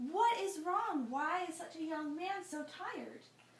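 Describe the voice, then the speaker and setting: A woman puts on a squeaky character voice at an extremely high pitch, with ordinary pitch variation, a moderate pace and a slight echo. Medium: read story.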